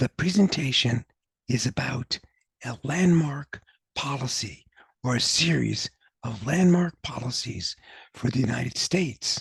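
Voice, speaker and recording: A man speaks at a medium pitch with lively intonation and vocal fry. His pace is fairly slow, with long, frequent pauses. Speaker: university professor. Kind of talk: academic lecture.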